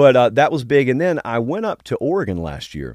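Over a quiet background, a man with a Southern US accent talks at a fairly quick pace in a dry, close sound with no echo. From Georgia. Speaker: college football show host. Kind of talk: casual interview. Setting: studio.

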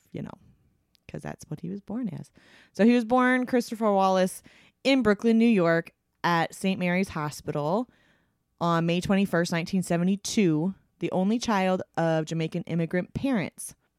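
A woman's unremarkable speaking voice at medium pitch, with lively intonation, big swings in loudness, a moderate pace, and a dry, close sound with no echo. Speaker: podcast host. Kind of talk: casual chat with scripted reading.

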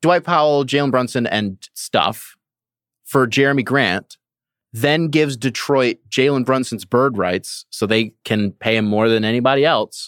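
A man's plain, everyday voice, medium in pitch with ordinary pitch variation at a fairly slow pace, dry and close with no echo in a very clean recording against a silent background. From Michigan. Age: 20s. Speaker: basketball writer. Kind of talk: casual chat. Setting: live audio room.

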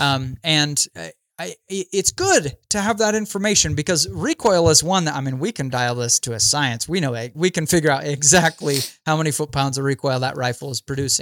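With an ordinary speaking voice, a man talks fairly quickly at a fairly high pitch with lively intonation, recorded dry and close with no echo. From Idaho. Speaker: gun YouTuber and hunter. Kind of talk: casual interview chat.

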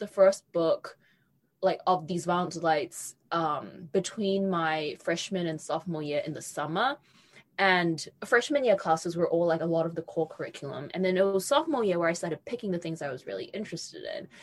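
Spoken in a New Zealand accent at a moderate pace, the voice shows ordinary pitch variation and big swings in loudness. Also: woman, medium pitch for a woman. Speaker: young adult novelist. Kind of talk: interview.

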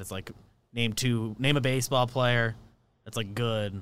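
Using a plain, everyday voice, a man moves at a fairly quick pace with fairly even intonation. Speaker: podcast co-host. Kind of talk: casual chat.

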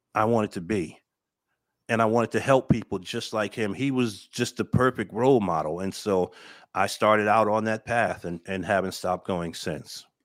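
On a very clean recording with a silent background, a man with a fairly low pitch speaks at a moderate pace in an ordinary speaking voice, with ordinary pitch variation. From New Jersey, Paterson. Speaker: army veteran and trauma healing coach. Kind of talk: podcast interview, personal testimony.

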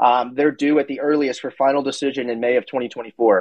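A man's normal speaking voice at a fairly quick pace, medium in pitch, with fairly even intonation. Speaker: crypto analyst. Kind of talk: casual panel discussion. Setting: online audio space.

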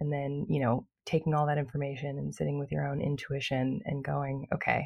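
A woman speaks at a moderate pace in a very deep, low voice that is somewhat breathy, with a soothing tone and fairly even intonation. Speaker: podcast host and birth class teacher. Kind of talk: casual interview chat.

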